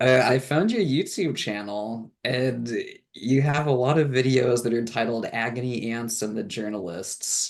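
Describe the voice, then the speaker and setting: With a plain, everyday voice, a man of medium pitch talks at a fairly slow pace using ordinary pitch variation. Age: 30s. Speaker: reading group participant, student. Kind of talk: casual chat.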